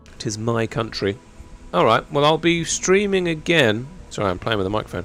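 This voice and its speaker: Very wide pitch swings mark this fairly quick speech in a British accent. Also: man, medium pitch for a man. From United Kingdom. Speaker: gaming streamer. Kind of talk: live stream chat. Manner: casual, rambling.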